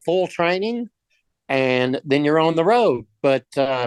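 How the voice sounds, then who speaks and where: Speaking with a Texan accent, a man with a fairly high pitch keeps a moderate pace. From Texas, Dallas. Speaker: business owner and EV charger reseller. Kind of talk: presentation. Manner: casual, with fillers.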